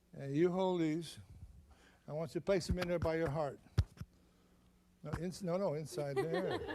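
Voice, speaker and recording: Pitched high for a man, his dark, mellow tone moves at a moderate pace with fairly even intonation and long, frequent pauses, and audible room echo surrounds it. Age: 70s. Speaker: magician. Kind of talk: stage magic performance.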